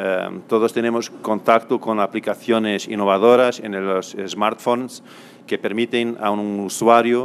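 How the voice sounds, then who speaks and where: With a Portuguese accent, a man talks at medium pitch and a fairly slow pace, his intonation monotone and flat. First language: Portuguese (speaking Spanish). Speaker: law professor. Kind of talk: conference lecture. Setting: auditorium stage. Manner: halting, many fillers and repetitions.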